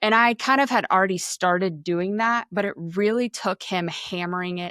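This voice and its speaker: A loud, bright, sharp voice moves at a moderate pace with ordinary pitch variation. The sound is dry and close with no echo, in a very clean recording with a silent background. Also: woman, medium pitch for a woman. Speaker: mortgage lender and team leader. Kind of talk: podcast interview. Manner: animated.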